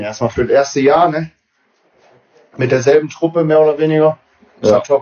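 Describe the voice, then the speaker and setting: The man's fairly high voice, with ordinary pitch variation, keeps to a moderate pace. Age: 30s. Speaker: amateur footballer and coach. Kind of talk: casual chat.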